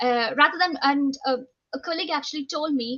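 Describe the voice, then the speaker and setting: A woman with an Indian accent and a high pitch speaks at a moderate pace with ordinary pitch variation. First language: Indian language (mother tongue). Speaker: nurse educator, university lecturer. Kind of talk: panel talk, personal story. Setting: video call. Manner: halting, many fillers.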